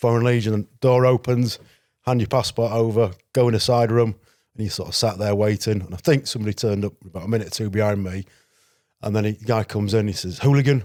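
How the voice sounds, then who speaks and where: A man's fairly low, dark, mellow voice with a Yorkshire accent, fairly even intonation and a very fast pace, on a very clean recording with a silent background. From northern England, Selby, North Yorkshire. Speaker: security risk consultant and former legionnaire. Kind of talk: podcast interview. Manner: casual, conversational.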